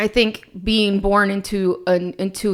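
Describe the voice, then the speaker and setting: A woman speaks in a Spanish accent at a medium pitch. Her intonation is monotone and flat. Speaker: podcast co-host. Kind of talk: casual chat.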